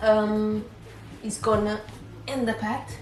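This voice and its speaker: A woman with a slight non-native accent, with music in the background and audible room echo. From Portugal, Cape Verdean family. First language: Portuguese. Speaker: book vlogger. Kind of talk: casual vlog talk. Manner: hesitant, many fillers.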